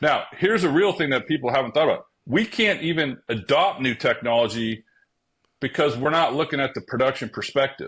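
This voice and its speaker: A man with an ordinary speaking voice talks at a fairly quick pace, with fairly high pitch and lively intonation, on a very clean recording with a silent background. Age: 60s. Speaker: author and construction industry expert. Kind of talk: interview.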